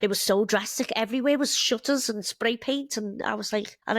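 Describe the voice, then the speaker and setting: A woman's voice with a Liverpool accent, in a dry, close sound with no echo. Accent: Scouse (Liverpool). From northern England, Liverpool. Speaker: bartender and mother, immigrant. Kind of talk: casual interview chat.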